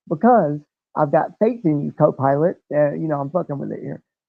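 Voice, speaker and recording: A man speaks loudly. His pitch varies in an ordinary way. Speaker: livestreamer. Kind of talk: livestream reading out AI prompts.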